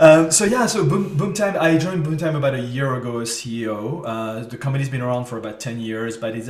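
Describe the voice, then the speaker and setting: Talking at a fairly quick pace with hardly any pauses, a man with a medium pitch and a slight French accent uses ordinary pitch variation over noticeable background noise. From France, French Riviera. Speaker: marketing agency CEO. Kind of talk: interview. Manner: hesitant, many fillers.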